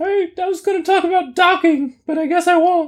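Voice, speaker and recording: A put-on character voice, squeaky and extremely high-pitched, at a fairly quick pace. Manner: speaking out of the side of the mouth.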